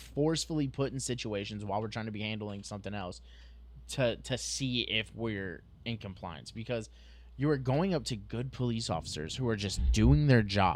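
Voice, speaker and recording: Lively intonation marks this man's voice, which sits at a medium pitch. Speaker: police officer, podcast co-host. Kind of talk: casual chat. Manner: halting.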